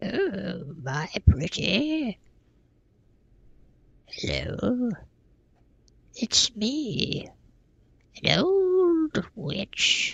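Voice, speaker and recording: In a put-on character voice with a fairly high pitch, the speaker goes at a very slow pace with long, frequent pauses. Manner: theatrical, cackling.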